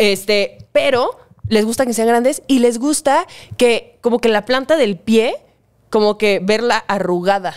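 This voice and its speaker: A woman with a Mexican accent speaks at a fairly slow pace with ordinary pitch variation over a quiet background. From Mexico. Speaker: online content creator. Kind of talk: casual chat. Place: home room. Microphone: studio mic.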